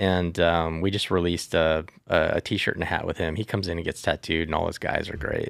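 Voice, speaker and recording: Over a very clean, silent background, a man with a very deep, low voice talks very fast in a flat monotone with hardly any pauses. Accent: American. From Southern California. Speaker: tattoo company executive. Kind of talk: casual interview.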